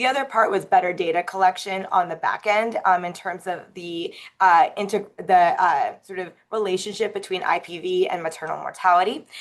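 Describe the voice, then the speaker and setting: A woman at medium pitch speaks with fairly even intonation but big swings in loudness. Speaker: city health official presenting on maternal mortality review. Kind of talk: webinar presentation. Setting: online webinar. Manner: fast; hesitant, many fillers.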